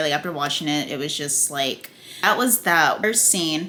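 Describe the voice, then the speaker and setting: Over noticeable background noise, a woman talks in an animated tone at a fairly quick pace. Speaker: TV review YouTuber. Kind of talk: casual video review. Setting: at home, food cooking on stove.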